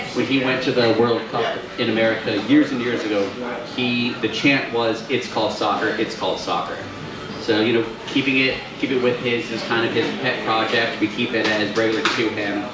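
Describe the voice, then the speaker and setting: Over noticeable background noise and audible room echo, a man speaks at a medium pitch and a moderate pace in a flat, monotone delivery. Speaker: brewery representative. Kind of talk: casual presentation to audience. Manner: loud.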